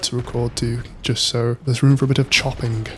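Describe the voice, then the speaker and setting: A man talks at a fairly quick pace in a monotone, flat delivery. Noticeable background noise is present. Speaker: solo YouTuber. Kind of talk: casual monologue over gameplay. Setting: home desk recording.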